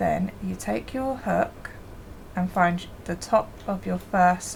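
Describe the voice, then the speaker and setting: A woman speaks over noticeable background noise. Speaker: crochet hobby youtuber. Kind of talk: tutorial. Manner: casual.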